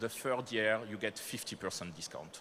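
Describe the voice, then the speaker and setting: In a French accent, a man talks at a moderate pace and a medium pitch. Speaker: company manager presenting to startups. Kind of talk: conference presentation.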